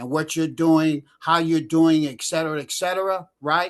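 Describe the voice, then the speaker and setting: A fairly high-pitched man against a quiet background. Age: 60s. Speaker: attendee of online class. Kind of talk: casual chat. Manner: halting.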